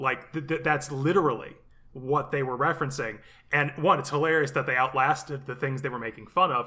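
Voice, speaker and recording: On a very clean recording with a silent background, a man with a fairly high pitch talks at a fairly quick pace in a bright, sharp tone. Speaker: podcast co-host. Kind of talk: casual chat. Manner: animated, enthusiastic.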